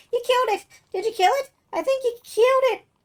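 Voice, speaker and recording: In a put-on character voice, the speaker sounds squeaky at an extremely high pitch and a fairly quick pace. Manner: chattering, excited.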